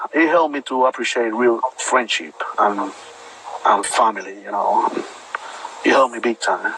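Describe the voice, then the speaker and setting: Against noticeable background noise, the speaker moves at a moderate pace with long, frequent pauses and ordinary pitch variation. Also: man. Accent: Puerto Rican. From Puerto Rico. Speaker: bodybuilder, army veteran. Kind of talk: interview.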